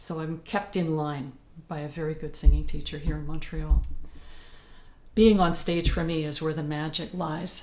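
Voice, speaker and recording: In audible room echo, a woman talks at a moderate pace with a very deep, low pitch. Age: 60s. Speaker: professional singer. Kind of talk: talk to a group.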